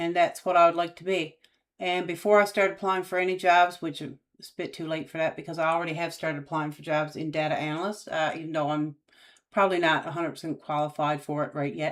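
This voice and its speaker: A woman with a Newfoundland accent, very fast, fairly low in pitch, in a monotone, flat intonation, on a very clean recording with a silent background. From Newfoundland, Canada. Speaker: YouTuber, aspiring data analyst. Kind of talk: casual live-stream chat. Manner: hesitant, many fillers.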